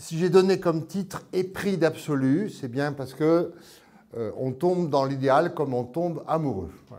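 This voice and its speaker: This man's voice sits at a fairly high pitch with a dark, mellow tone and big swings in loudness. He talks at a fairly slow pace amid audible room echo. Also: ordinary pitch variation. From France. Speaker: priest and psychoanalyst, author. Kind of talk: lecture.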